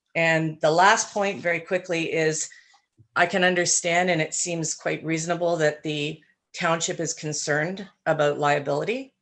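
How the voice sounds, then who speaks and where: In a Canadian accent, a woman speaks at a moderate pace with a fairly low pitch and fairly even intonation. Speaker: cottage owner delegate. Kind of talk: public meeting delegation. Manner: shaky voice.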